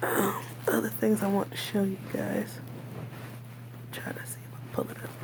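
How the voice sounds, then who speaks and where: A woman speaks quietly, her pitch swinging very widely. Noticeable background noise sits behind her. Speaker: video blogger. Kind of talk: casual video diary. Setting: hospital room.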